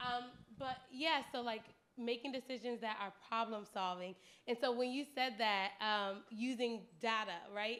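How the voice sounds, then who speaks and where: Loud and at a fairly slow pace, a woman with a fairly high pitch and a bright, sharp tone keeps a fairly even intonation. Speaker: audience member, grants worker. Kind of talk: audience participation.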